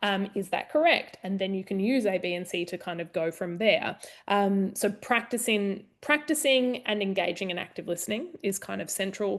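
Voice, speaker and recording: Against a quiet background, a woman talks at medium pitch with ordinary pitch variation. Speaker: university lecturer. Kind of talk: live online group discussion. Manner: fast; conversational.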